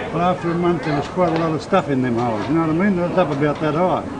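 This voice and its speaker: With an Australian accent, a man speaks with ordinary pitch variation over noticeable background noise and audible room echo. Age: 80s+. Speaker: war veteran. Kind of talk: interview storytelling. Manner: animated.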